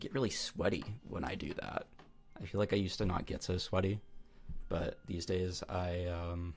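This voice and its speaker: Music plays in the background as a man speaks at a very deep, low pitch. His pace is fairly slow, with long, frequent pauses. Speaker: livestreamer giving advice. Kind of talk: casual livestream chat. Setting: live stream with chat. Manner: casual, halting with fillers.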